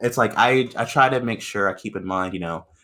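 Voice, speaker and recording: The recording is very clean, the background silent. A man with a bright, sharp tone and lively intonation speaks at a moderate pace. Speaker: guest dungeon master on gaming podcast. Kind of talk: casual chat. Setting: podcast recording. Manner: words blur together when excited.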